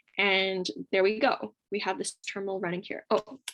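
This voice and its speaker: With a plain, everyday voice, a woman speaks at a medium pitch and a moderate pace against a quiet background. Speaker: coding workshop instructor. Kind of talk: tutorial. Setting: video call.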